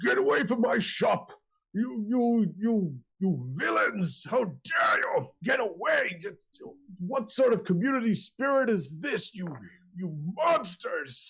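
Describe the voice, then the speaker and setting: A man puts on a character voice pitched high. He talks at a fairly slow pace. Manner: indignant, shouting.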